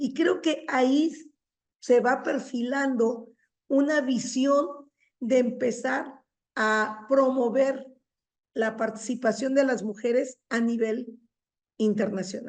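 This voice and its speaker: With fairly even intonation, a high-pitched woman speaks at a very slow pace, leaving long, frequent pauses. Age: 60s. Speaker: feminist academic and teacher. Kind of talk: seminar discussion comment. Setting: university seminar. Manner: halting, with repetitions.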